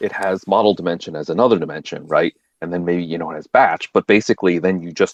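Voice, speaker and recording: Delivered at a fairly quick pace, the speech has fairly even intonation and a dry, close sound with no echo. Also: man. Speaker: machine learning researcher presenting own work. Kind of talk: technical presentation. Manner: halting, many repeated words.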